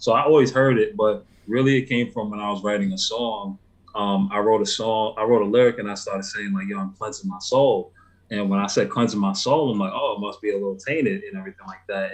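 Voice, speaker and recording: A man with a New York accent talks at a very fast pace in a fairly low pitch with fairly even intonation. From New York, the Bronx. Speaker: hip hop artist. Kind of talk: interview. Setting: live stream call.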